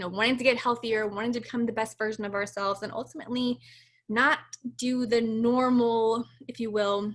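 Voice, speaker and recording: A woman talks in a fairly high pitch. Her pace is fairly quick. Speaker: fitness coach. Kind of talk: info session presentation. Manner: fast; animated.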